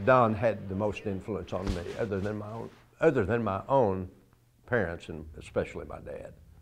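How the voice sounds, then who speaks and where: Speaking in an unremarkable speaking voice, a man with a fairly low pitch and ordinary pitch variation keeps a moderate pace, his loudness swinging widely. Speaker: town mayor, former basketball player. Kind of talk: interview answer.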